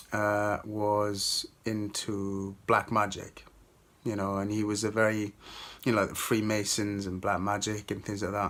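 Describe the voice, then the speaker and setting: Speaking in a Welsh accent, a man delivers his words at a fairly slow pace, with a fairly low pitch and monotone, flat intonation. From Wales. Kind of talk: testimony. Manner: halting, many fillers.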